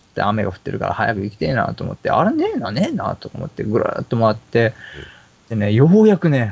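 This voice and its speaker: Noticeable background noise sits behind a man speaking at a fairly quick pace in an animated tone. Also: big swings in loudness. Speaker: podcast host. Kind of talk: casual chat. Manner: animated, joking.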